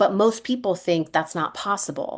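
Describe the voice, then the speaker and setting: The woman's intonation is lively, and the background stays quiet. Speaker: business consultant and coach. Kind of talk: podcast interview. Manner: fast.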